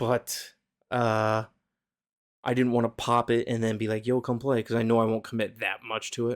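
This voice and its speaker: Quiet and monotone, a man speaks at a medium pitch and moderate pace with flat intonation on a very clean recording with a silent background. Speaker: podcast co-host. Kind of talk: casual chat. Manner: hushed.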